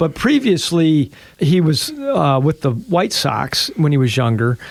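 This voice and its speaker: With an Illinois accent, the man speaks at a fairly slow pace and fairly high pitch, using lively intonation while keeping his loudness very even. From US Midwest, Chicago area, Illinois. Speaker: high school athletic director and radio co-host. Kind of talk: casual chat.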